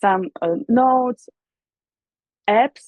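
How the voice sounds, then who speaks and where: A woman speaks with a Russian accent. Her pitch is high. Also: dry, close sound with no echo. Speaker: musician and vocal teacher. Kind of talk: interview. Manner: halting.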